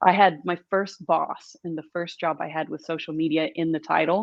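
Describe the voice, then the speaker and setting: A woman with an American accent has a plain, everyday voice and a fairly low pitch. She talks at a moderate pace with fairly even intonation. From US, Southern California and rural Missouri. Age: 40s. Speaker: brand storytelling and marketing expert. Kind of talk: podcast interview.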